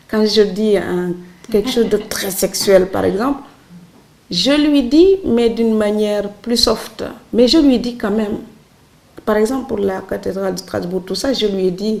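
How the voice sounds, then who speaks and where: A woman with a Senegalese accent talks fairly slowly at a fairly high pitch, with ordinary pitch variation and long, frequent pauses. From Senegal, Saloum islands village. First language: Serer (speaking French). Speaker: writer. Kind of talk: interview.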